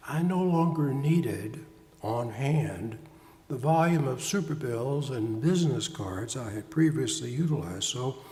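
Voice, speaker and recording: Amid noticeable background noise and audible room echo, a man with a fairly high pitch talks at a fairly slow pace with lively intonation. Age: 70s. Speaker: pastor and psychotherapist. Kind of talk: sermon.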